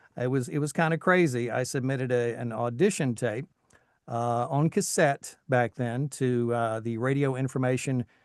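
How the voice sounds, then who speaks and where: A man with an American accent talks in a normal speaking voice at a medium pitch, moderate pace and ordinary pitch variation. The sound is dry and close with no echo, over a quiet background. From Tennessee, US South. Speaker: voice actor, army veteran. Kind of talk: interview talk.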